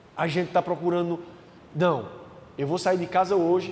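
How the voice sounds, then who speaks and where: Loud and high-pitched, a man's voice carries audible room echo and noticeable background noise. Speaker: preacher. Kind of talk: sermon.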